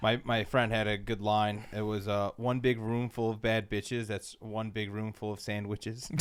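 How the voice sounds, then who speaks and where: A man's fairly low voice at a moderate pace, monotone and flat, with hardly any pauses over noticeable background noise. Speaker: podcast host. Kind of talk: casual chat. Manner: stuttering.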